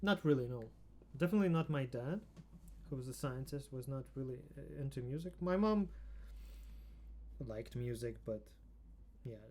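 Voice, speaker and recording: A man with a Russian accent talks at a moderate pace. He leaves long, frequent pauses. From Ukraine (Odessa), born in Riga. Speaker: musician. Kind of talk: casual chat.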